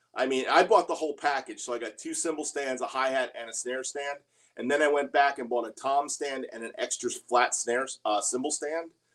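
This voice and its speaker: In an unremarkable speaking voice, a man talks at a fairly quick pace and a fairly high pitch, with big swings in loudness. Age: 60s. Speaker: drummer and livestream host. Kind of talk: casual livestream Q&A. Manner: casual, conversational with filler words.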